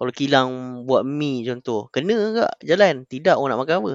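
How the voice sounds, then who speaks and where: At a fairly slow pace, a man with an ordinary speaking voice talks in a medium pitch with lively intonation. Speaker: podcast guest. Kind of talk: casual chat.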